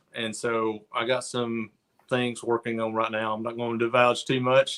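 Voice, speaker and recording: A man's medium-pitched, flat, monotone delivery in a Southern US accent. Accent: Southern drawl. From US South, near Chattanooga, Tennessee. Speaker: artist. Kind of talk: casual chat. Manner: halting.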